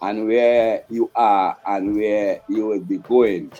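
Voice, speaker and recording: A man talks at a very slow pace with music in the background. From Trinidad, Tunapuna. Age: 60s. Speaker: Rastafarian priest. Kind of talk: interview testimony.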